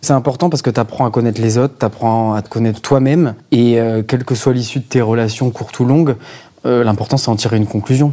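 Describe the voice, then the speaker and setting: Dark, mellow tones from a man, medium in pitch and with ordinary pitch variation. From Marseille, southern France. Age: 30s. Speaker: banker and father. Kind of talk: casual interview. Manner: hesitant, many fillers.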